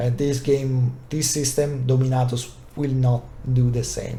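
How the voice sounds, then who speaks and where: Through audible room echo and noticeable background noise, a man speaks at a moderate pace with a medium pitch. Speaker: tabletop wargaming youtuber. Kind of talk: unscripted review. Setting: recorded video to camera. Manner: hesitant, many fillers.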